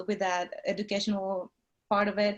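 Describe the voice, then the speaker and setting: Speaking at a moderate pace, a woman with a Mexican accent uses a medium pitch. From Mexico. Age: 40s. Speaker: nurse anesthetist and real estate investor. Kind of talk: interview. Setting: video call. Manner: halting.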